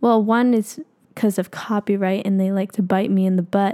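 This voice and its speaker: In a very clean recording with a silent background, a woman speaks at a medium pitch with a dark, mellow tone, the sound dry and close with no echo. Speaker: podcast host and singing YouTuber. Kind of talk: casual solo podcast monologue. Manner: occasional stutter.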